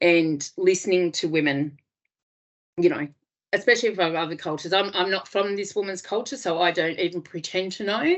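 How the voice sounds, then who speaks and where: A woman with an Australian accent, medium in pitch, with ordinary pitch variation and a fairly quick pace. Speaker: domestic violence refuge worker. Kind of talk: webinar presentation. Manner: hesitant, many fillers.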